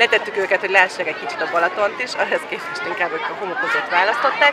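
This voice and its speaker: The voice moves through very wide pitch swings while crowd noise sounds in the background. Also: woman. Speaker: family vlogger. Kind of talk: casual vlog talk.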